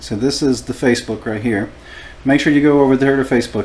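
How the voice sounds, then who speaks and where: There is noticeable background noise behind a man. He speaks at a medium pitch with ordinary pitch variation. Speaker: tattoo artist and show host. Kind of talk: casual chat.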